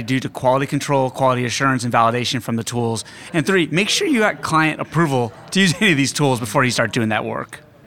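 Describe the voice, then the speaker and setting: At a fairly quick pace, a man with medium pitch speaks in a plain, everyday voice. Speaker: lawyer on panel. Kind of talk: panel discussion. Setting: conference recording.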